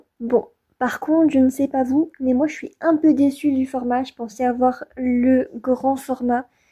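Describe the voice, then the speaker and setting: A woman speaks at a high pitch with a dark, mellow tone. Her intonation stays fairly even. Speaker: beauty youtuber. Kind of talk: product review tutorial. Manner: casual, with filler hesitations.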